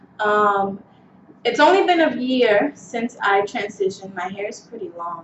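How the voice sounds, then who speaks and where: Over noticeable background noise, a woman at medium pitch speaks at a fairly slow pace with lively intonation. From New York City, the Bronx. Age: 20s. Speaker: beauty vlogger. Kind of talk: casual vlog monologue. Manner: hesitant, many fillers.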